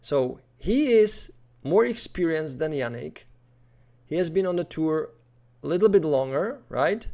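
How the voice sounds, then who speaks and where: Mumbling in a dark, mellow tone, a man with a fairly high pitch and lively intonation speaks at a fairly slow pace with long, frequent pauses, in a very clean recording with a silent background. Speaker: tennis commentator youtuber. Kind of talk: casual video commentary.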